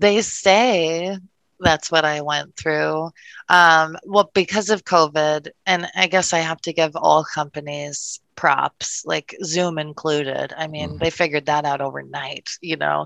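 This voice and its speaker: A woman with an American accent and a very deep, low pitch, ordinary pitch variation and a fairly slow pace, in a dry, close sound with no echo against a quiet background. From Wisconsin. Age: 30s. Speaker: insurance agency owner. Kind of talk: casual interview chat.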